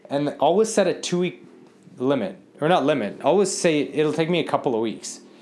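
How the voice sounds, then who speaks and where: Speaking at a moderate pace with an American accent, a man uses a plain, everyday voice, fairly high in pitch, with lively intonation. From Los Angeles, US. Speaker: podcast host. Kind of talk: casual solo podcast monologue. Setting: villa in the Philippines. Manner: casual, conversational.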